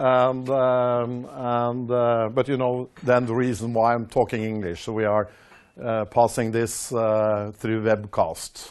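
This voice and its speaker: Speaking very slowly in a Norwegian accent, a man holds a medium pitch with monotone, flat intonation. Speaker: company executive. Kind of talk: investor presentation. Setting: stage with audience, webcast. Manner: halting, many fillers.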